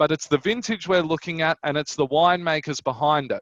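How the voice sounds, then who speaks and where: Dry and close with no echo, the recording captures a man with a Queensland accent. His pitch is fairly high. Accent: Australian, Queensland drawl. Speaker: wine broker. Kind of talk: online wine tasting presentation. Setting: online event.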